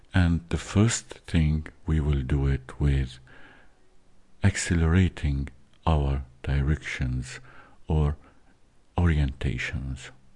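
The tone is calm and soothing, with very even loudness and ordinary pitch variation. Delivery is very slow, with long, frequent pauses. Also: man, very deep, low pitch for a man. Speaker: meditation host. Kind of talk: guided meditation. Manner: slow, calm, soothing, hushed instructions with long pauses; halting, with filler words.

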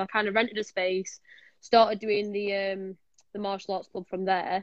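A woman speaks at a medium pitch with a Yorkshire accent. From Sheffield, Yorkshire, northern England. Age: 20s. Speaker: martial arts instructor. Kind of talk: casual chat. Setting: online live stream.

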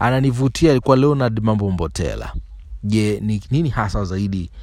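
In a Kilimanjaro accent, a man speaks at a fairly low pitch with ordinary pitch variation. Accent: rural Kilimanjaro accent in Swahili. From Tanzania, Kilimanjaro (Moshi, Materuni village). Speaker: aspiring radio presenter, storyteller. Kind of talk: personal storytelling monologue. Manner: halting, with repetitions.

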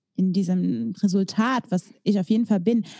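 A woman with a dark, mellow tone and a medium pitch speaks somewhat breathily with ordinary pitch variation, in a dry, close sound with no echo. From East Belgium, German-speaking border area. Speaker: podcast co-host. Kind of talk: casual chat.

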